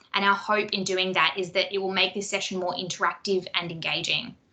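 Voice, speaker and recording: A woman with an Australian accent, talking at a fairly quick pace over noticeable background noise. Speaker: workshop moderator. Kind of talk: online workshop housekeeping instructions. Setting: video call.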